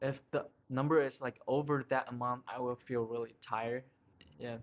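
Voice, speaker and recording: This man has a non-native accent and a medium pitch. He keeps a moderate pace in a monotone, flat intonation. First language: not English. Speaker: college student. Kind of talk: casual chat. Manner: halting.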